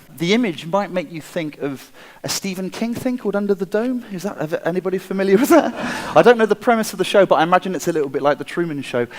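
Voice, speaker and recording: Noticeable background noise sits behind a man with an American accent. He talks at a very fast pace in a high pitch with lively intonation. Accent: English, noticeable to a US audience. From England, Wiltshire. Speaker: designer and inventor. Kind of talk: conference talk. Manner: halting, with repeated words and fillers.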